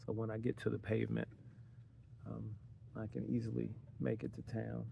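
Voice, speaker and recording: A very deep, low male voice with very wide pitch swings, moving at a fairly quick pace. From city-raised. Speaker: van life vlogger. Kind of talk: casual vlog monologue. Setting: outdoors at a campsite. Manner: talking low; hesitant, many fillers.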